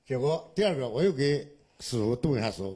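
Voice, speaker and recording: Somewhat breathy, a man speaks at a moderate pace with a dark, mellow tone and very wide pitch swings. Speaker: tai chi student. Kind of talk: testimony.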